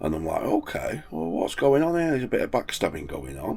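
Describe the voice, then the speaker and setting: This man has a fairly low pitch. His voice moves through very wide pitch swings. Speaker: van life vlogger. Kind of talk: casual vlog monologue. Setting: in a van by the sea.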